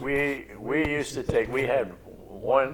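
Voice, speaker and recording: A man speaks with an American accent at a fairly slow pace. Noticeable background noise runs under his voice. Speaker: grandparent interviewee. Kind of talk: family oral history interview.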